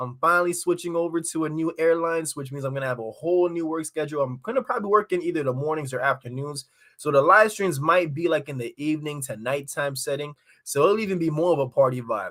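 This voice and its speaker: A man in a Jamaican accent, animated and very fast, with a fairly high pitch and ordinary pitch variation. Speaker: crypto YouTuber. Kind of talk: live stream chat. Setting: live stream on camera. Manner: casual, animated.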